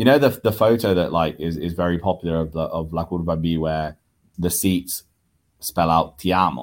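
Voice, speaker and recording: A man's very deep, low voice with a British accent, on a very clean recording with a silent background. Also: ordinary pitch variation, moderate pace. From Italy, left at age five. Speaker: football fan. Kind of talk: casual interview.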